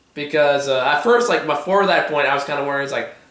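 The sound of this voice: A man's fairly high pitch and fairly bright tone at a fast pace, with ordinary pitch variation and strong room echo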